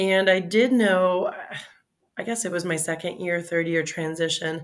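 A woman with a normal speaking voice and an American accent talks at a moderate pace, her pitch fairly low for a woman. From South Florida, Fort Lauderdale. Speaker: veterinary dermatologist. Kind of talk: professional interview.

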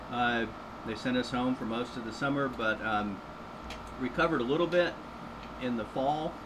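With audible room echo and noticeable background noise, a man speaks at a moderate pace and medium pitch, using ordinary pitch variation and long, frequent pauses. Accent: American. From US South, southeast Florida. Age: 50s. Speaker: entomology professor. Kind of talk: radio interview. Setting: studio.

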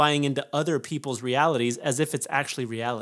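On a very clean recording with a silent background, the voice moves at a moderate pace with fairly even intonation. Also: man. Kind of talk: angry motivational rant. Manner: intense, loud, emphatic, hammering repeated phrases.

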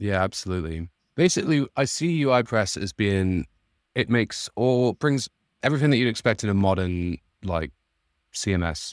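Dry and close with no echo on a very clean, silent recording, a man with a Mancunian accent and a fairly low pitch talks at a moderate pace, his pitch swinging very widely between long, frequent pauses. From northern England, Manchester. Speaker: indie software developer, plugin founder. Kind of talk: interview, casual chat.

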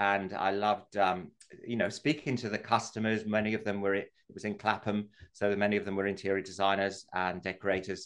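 A man talks at a fairly quick pace in a fairly low pitch. His intonation is monotone and flat, and the background is quiet. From England. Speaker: wallpaper designer and business owner. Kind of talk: interview. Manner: halting, many fillers.

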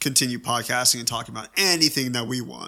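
A man's voice with a bright, sharp tone. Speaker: podcast co-host. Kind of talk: casual chat.

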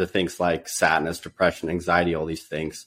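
An American-accented man, on a very clean recording with a silent background. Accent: near-general American, slight Dutch trace. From Netherlands. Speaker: software engineer. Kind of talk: interview chat.

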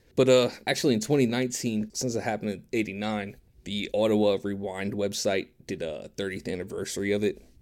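A man with a plain, everyday voice talks at a fairly quick pace with hardly any pauses, fairly low pitch and fairly even intonation. The recording is very clean with a silent background. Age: 30s. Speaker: podcast co-host. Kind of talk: casual chat.

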